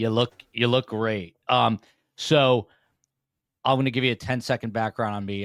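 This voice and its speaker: This man has a normal speaking voice at a fairly low pitch with ordinary pitch variation, captured in a very clean recording with a silent background and a dry, close sound with no echo. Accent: American. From US Northeast, New Jersey. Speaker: podcast host and former TV news reporter. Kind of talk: casual interview chat. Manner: many filler words, uh and um.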